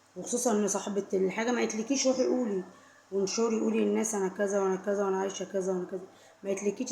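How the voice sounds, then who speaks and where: A woman speaks with an Egyptian accent at a medium pitch, her pitch varying in an ordinary way. Noticeable background noise runs behind her. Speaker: vlogger. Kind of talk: casual talk to camera. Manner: repetitive, emphatic; suddenly louder at times.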